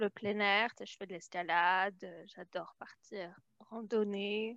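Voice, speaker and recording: A woman speaks with fairly even intonation. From France. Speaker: immigrant guest. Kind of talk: casual chat.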